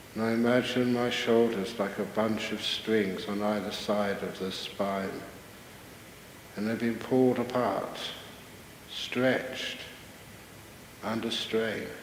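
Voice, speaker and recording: Over noticeable background noise, a man talks very slowly in a calm, monotone, flat voice at medium pitch, with long, frequent pauses. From British-Australian. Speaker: Buddhist monk and meditation teacher. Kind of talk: guided meditation. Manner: calm, slow, soft-spoken.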